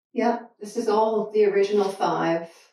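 Audible room echo surrounds a woman with a medium pitch and a dark, mellow tone. Her pace is fairly slow. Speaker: painter. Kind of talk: casual artist talk. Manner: halting, with many fillers. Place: hall.

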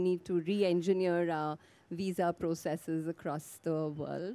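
A woman's fairly low, dark, mellow voice at a fairly slow pace with fairly even intonation. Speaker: panel moderator. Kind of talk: moderator introduction. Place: garden. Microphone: handheld.

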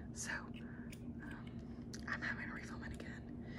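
Someone whispers over noticeable background noise. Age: 20s. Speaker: ASMR creator. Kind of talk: casual ASMR room tour talk. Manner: soft-spoken.

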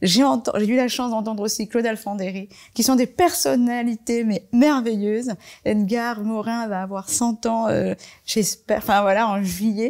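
A woman at a fairly high pitch and fairly slow pace, with ordinary pitch variation, against a quiet background. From Marseille, France (born in Comoros); France. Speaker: fashion designer; interviewee. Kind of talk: panel talk. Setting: library event with audience.

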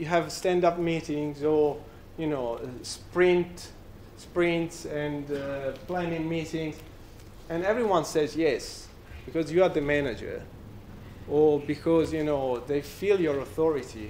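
Over light background noise, a man with an Italian accent and a fairly high pitch speaks at a fairly slow pace, with ordinary pitch variation and long, frequent pauses. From Italy. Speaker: software company representative; conference speaker. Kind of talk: conference talk. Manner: halting. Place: bar.

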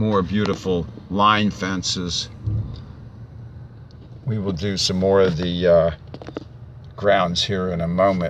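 A man with a very deep, low pitch, very slow, with long, frequent pauses, fairly even intonation, light background noise and a dry, echo-free sound. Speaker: auctioneer. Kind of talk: real estate property tour narration. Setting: outdoors, narrating while driving. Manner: slow, hesitant, with frequent filler words. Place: car. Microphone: phone near.

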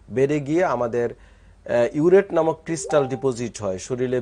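Medium-pitched male voice of dark, mellow tone, ordinary pitch variation and light background noise. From Bangladesh. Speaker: doctor; guest. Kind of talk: medical interview. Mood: calm, explanatory. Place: studio. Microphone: lapel.

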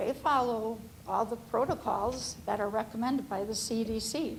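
A woman's fairly high-pitched voice with vocal fry and fairly even intonation. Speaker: family physician, public commenter. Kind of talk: public comment at school board meeting.

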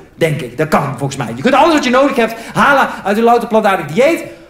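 A man's pitch swings very widely. His voice carries audible room echo. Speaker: stand-up comedian. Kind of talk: stand-up comedy routine. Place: stage. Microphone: handheld.

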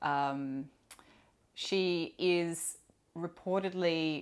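In an Australian accent, a woman with a very deep, low pitch speaks in a relaxed tone. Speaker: perfume YouTuber; perfume vlogger. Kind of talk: casual solo vlog talk. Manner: relaxed, hesitant with fillers. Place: home room. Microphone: lapel.

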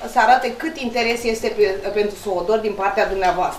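With audible room echo and light background noise, a woman talks with ordinary pitch variation. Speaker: council meeting official. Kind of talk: council meeting rebuttal. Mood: reproachful, argumentative. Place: meeting room.

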